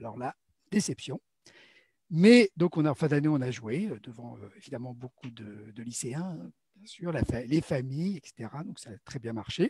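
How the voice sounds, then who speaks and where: In a dry, close sound with no echo, a man with a medium pitch and a dark, mellow tone speaks at a moderate pace, somewhat breathy, with lively intonation and big swings in loudness. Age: 60s. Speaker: amateur theatre actor. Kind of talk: interview about his theatre background. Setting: live online broadcast. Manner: hesitant, many fillers.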